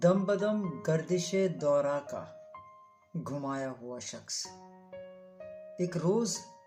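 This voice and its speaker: A woman with big swings in loudness and ordinary pitch variation, music in the background. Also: fairly low pitch for a woman. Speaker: radio presenter, voice-over artist. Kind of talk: poetry reading.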